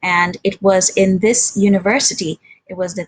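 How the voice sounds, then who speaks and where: A woman's somewhat breathy voice of medium pitch with a Sindhi accent, dry and close with no echo. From India, grew up partly in Germany and Nigeria. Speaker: interpreter. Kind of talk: presentation talk.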